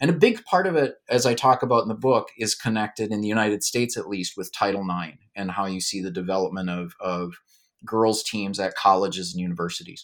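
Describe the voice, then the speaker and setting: A man speaks at a fairly quick pace in an unremarkable speaking voice, fairly low in pitch with ordinary pitch variation. The recording is very clean, with a silent background. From Minnesota, Duluth. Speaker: historian and author. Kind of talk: interview.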